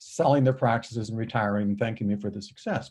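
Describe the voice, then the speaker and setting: A man speaks at a fairly quick pace in a somewhat breathy voice with a dark, mellow tone, against a quiet background. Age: 70s. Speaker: dental practice coach. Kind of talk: interview.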